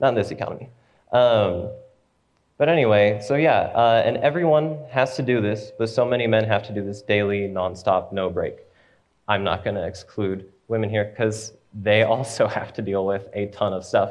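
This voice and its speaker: A man speaks in a normal speaking voice at a medium pitch and moderate pace, with ordinary pitch variation. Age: 20s. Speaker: young church member giving a talk. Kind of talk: presentation followed by Q&A.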